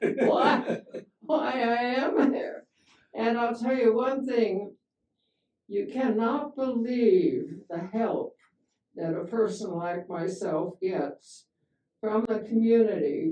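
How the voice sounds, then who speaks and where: In a dark, mellow tone, the voice moves at a very slow pace with very wide pitch swings. Long, frequent pauses recur throughout. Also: woman, fairly high pitch for a woman. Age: 80s+. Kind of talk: interview answer.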